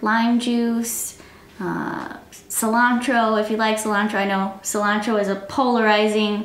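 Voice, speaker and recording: Fairly slow female speech in a room with audible echo. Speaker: cooking show co-host. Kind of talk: casual explanation. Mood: relaxed, amused. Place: home room.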